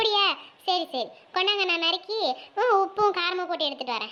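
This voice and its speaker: A woman puts on a cartoonish character voice, squeaky and extremely high in pitch. Her intonation is lively. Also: moderate pace. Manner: warm but chiding.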